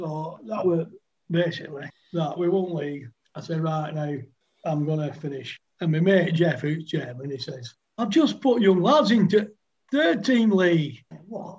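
Speaking fairly slowly with a Lancashire accent, a man uses a high pitch and big swings in loudness. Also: lively intonation. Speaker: retired cricketer. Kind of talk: casual chat.

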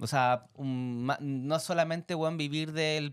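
Against a quiet background, a man with a Chilean accent talks at a fairly high pitch with fairly even intonation. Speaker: podcast co-host. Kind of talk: casual chat. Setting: studio. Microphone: studio mic.

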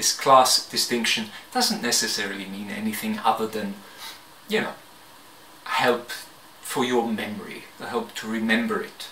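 The bright, sharp voice comes with audible room echo. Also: man.

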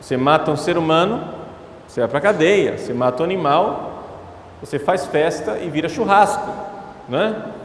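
Light background noise and audible room echo accompany a man speaking at a moderate pace with lively intonation. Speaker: priest giving a talk. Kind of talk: sermon. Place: church. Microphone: handheld.

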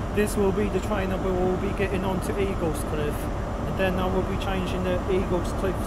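The recording is dry with no echo but has loud background noise. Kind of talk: casual vlog commentary. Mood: enthusiastic, pleased. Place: station. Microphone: phone near.

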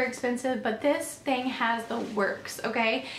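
A woman with an American accent speaks at a moderate pace in a high pitch, over noticeable background noise. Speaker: lifestyle YouTuber, mother. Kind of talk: product haul video.

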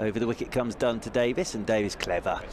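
This man's voice comes through with noticeable background noise around it. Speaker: cricket commentator. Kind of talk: live cricket commentary. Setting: commentary box at the ground. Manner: fluent, measured, bursts of excitement on wickets and big shots.

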